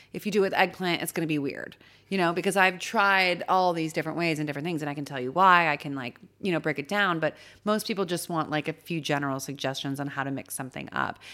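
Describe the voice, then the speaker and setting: At a very fast pace, a woman with a Californian accent speaks in a fairly low pitch with a bright, sharp tone and ordinary pitch variation on a very clean recording with a silent background. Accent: Californian American. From US West Coast, Los Angeles San Fernando Valley. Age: 30s. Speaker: chef and cookbook author. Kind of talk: casual chat. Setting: studio.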